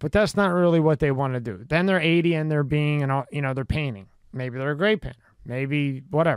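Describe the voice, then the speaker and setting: In a very clean recording with a silent background and a dry, close sound with no echo, a man with a Philadelphia accent speaks at a fairly high pitch with lively intonation. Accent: Philadelphia American. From Philadelphia, US. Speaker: podcast host. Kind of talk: casual interview. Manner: casual and chatty.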